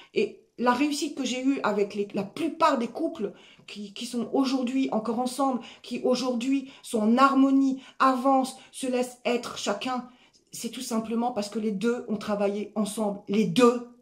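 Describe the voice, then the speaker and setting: Loud and high-pitched, a woman speaks at a fairly slow pace with ordinary pitch variation. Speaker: life coach. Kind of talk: motivational talk.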